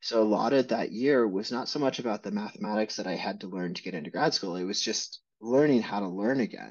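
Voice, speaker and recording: The man's speech runs fairly quickly, with little noise behind him. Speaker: interviewee. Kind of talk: interview answer. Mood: reflective, candid. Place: home room. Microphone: webcam.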